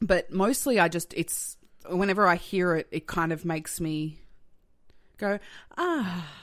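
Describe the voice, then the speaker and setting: A woman speaks with an Australian accent in a fairly low voice, at a fairly slow pace with long, frequent pauses and ordinary pitch variation. The recording is very clean, with a silent background. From Australia, Tasmania and Melbourne. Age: 30s. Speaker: comedian and writer. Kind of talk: casual chat.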